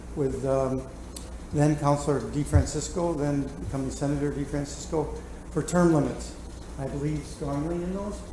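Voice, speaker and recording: Audible room echo and noticeable background noise surround a man speaking at a moderate pace in an American accent. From upstate New York. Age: 70s. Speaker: city auditor, commission coordinator. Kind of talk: public meeting remarks. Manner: halting, many fillers.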